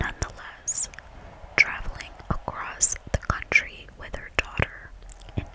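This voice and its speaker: Whispering at a fairly slow pace, with big swings in loudness and noticeable background noise. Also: woman. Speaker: ASMR artist. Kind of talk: whispered true crime reading. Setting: ASMR microphone recording. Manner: whispered, soft.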